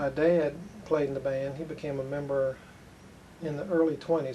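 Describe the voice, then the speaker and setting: There is noticeable background noise behind a man with an American accent. His medium-pitched voice is monotone and flat, moving at a fairly quick pace. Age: 70s. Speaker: band member. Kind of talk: interview.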